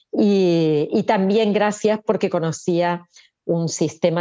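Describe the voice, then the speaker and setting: A woman speaks in a plain, everyday voice at a fairly low pitch. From Argentina. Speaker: author and therapist. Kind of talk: interview.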